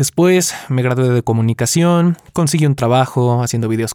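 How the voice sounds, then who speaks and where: A man's dark, mellow tone in a Mexican accent, with ordinary pitch variation. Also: dry, close sound with no echo. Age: 20s. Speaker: podcast host. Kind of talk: scripted narration.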